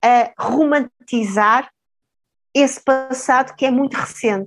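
Her intonation remains fairly even. The woman's voice sits high in pitch. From Mozambique (Maputo), then Portugal. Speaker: sociologist and professor. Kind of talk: interview conversation.

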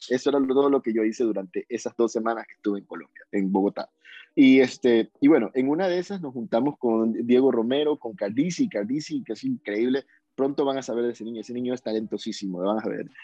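A man at medium pitch, very fast, with ordinary pitch variation and big swings in loudness. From Ecuador, Guayaquil. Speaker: urban music singer. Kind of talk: interview. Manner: halting, many repetitions.

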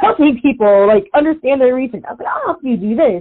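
Here a woman speaks with an American accent. Her intonation is lively. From Virginia, US. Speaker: swim coach and researcher. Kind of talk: interview conversation.

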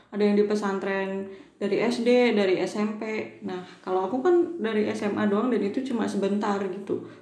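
Amid noticeable background noise and audible room echo, a woman speaks at a moderate pace and medium pitch with ordinary pitch variation and hardly any pauses. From Java, mountain area. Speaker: podcast co-host. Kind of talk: casual chat. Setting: recording at night. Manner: laughs often.

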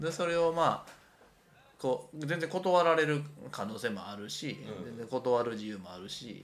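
Big swings in loudness from a man at medium pitch, moderate pace, and lively intonation, with audible room echo. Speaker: artist. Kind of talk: casual chat. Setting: rented apartment room.

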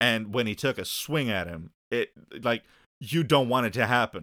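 A man talks in a bright, sharp, animated tone. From Netherlands. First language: Dutch. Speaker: wrestling fan. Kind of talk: casual chat.

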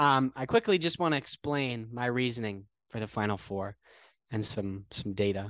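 This is an ordinary speaking voice, a man with an American accent talking at a fairly slow pace with ordinary pitch variation. The sound is dry and close with no echo, and the background is quiet. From Connecticut. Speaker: sports podcast co-host, college student. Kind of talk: casual sports chat.

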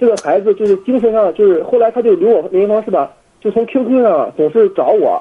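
Very fast and lively in intonation, a man talks at a high pitch. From Jinan, Shandong, China. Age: 20s. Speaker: university exchange student, caller. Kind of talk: phone call-in conversation. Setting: international phone call. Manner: halting, many fillers.

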